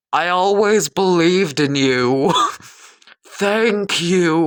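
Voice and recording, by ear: A very slow, high-pitched put-on character voice from a man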